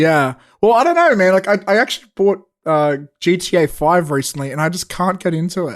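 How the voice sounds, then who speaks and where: A man speaks with an Australian accent at a fairly quick pace. His pitch is high. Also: ordinary pitch variation. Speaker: podcast co-host and filmmaker. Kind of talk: casual chat.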